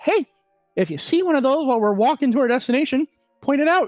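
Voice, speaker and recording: A female-sounding put-on character voice speaks at a high pitch. It races at a very fast pace with lively intonation. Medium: actual play.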